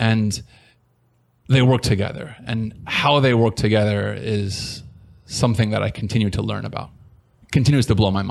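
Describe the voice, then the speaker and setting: With a Californian accent, a man with a fairly low voice speaks at a moderate pace with fairly even intonation and long, frequent pauses. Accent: General American (Californian). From US West Coast (San Diego, California). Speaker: tech entrepreneur. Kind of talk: interview.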